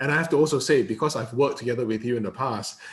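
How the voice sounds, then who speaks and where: A man with a medium-pitched, somewhat breathy voice talks with ordinary pitch variation. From Malaysia. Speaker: interviewer. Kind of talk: interview.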